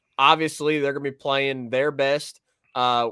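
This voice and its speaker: An unremarkable speaking voice from a man, fairly high in pitch, at a moderate pace with fairly even intonation and a dry, close sound without echo. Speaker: sports podcast co-host. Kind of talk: casual sports talk. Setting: remote video stream.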